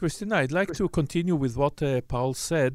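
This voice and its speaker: Against a silent background in a very clean recording, a man with an Israeli accent talks at a fairly high pitch with lively intonation. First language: Hebrew. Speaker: journalist and moderator. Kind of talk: moderated panel discussion.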